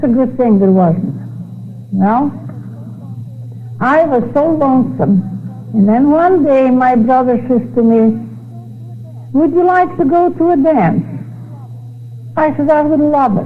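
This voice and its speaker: A woman with a high pitch speaks at a fairly slow pace, using lively intonation and long, frequent pauses while her loudness stays very even. Noticeable background noise and audible room echo surround her voice. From Netherlands. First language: Dutch. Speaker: speaker giving religious testimony. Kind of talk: testimony.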